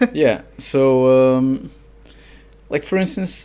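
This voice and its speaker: In a Portuguese accent, the man talks. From Portugal. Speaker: fiction author and translator. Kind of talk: podcast interview. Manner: halting, many fillers.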